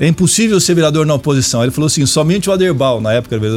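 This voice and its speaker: Amid noticeable background noise, a man with a fairly high pitch speaks with lively intonation. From Brazil, Araraquara (São Paulo state). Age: 50s. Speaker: politician and university professor. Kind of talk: radio interview.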